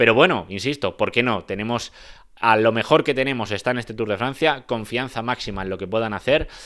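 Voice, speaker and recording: With ordinary pitch variation and a fairly quick pace, a man talks against a quiet background. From Spain. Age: 20s. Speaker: cycling analyst. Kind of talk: solo video commentary. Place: home room. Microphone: handheld.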